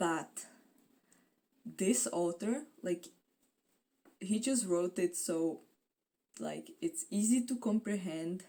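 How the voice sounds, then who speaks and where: A woman with a non-native accent speaks at medium pitch in a dark, mellow tone, her pitch swinging very widely. Her pace is very slow, broken by long, frequent pauses. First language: not English. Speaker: booktuber. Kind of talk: casual vlog chat.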